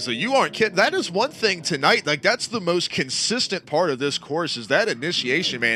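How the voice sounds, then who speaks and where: Noticeable background noise sits behind this man. His pitch swings very widely. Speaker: sim racing commentator. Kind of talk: live commentary. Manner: loud.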